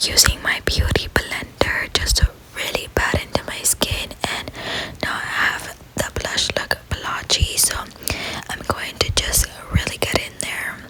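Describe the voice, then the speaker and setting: Speaking at a fairly slow pace, a woman whispers over noticeable background noise. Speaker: ASMR creator. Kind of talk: ASMR get-ready-with-me voiceover. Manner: whispered.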